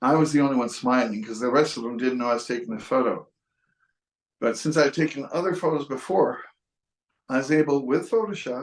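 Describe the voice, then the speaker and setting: A man with an American accent talks at a fairly quick pace and a fairly high pitch. His pitch varies in an ordinary way, and he takes long, frequent pauses. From western New York. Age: 60s. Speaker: photographer. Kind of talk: casual talk about photography. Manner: halting, with restarts.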